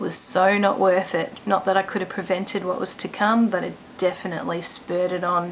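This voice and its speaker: A quiet woman's voice of medium pitch in an Australian accent, fairly quick and flat in monotone, amid noticeable background noise. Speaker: vlogger sharing illness story. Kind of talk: personal testimony vlog. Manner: quiet, hushed; hesitant, many ums.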